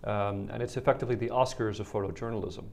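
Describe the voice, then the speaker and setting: At a very fast pace, a man talks with a Dutch accent. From Netherlands. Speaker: policy analyst, photo exhibition representative. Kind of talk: interview.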